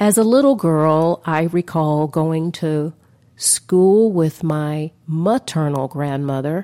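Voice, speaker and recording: Very slow and very deep, a woman speaks in a dark, mellow tone with ordinary pitch variation, the sound dry and close with no echo on a very clean recording with a silent background. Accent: American. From US South, Atlanta. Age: 60s. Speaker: podcast host. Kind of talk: personal storytelling monologue.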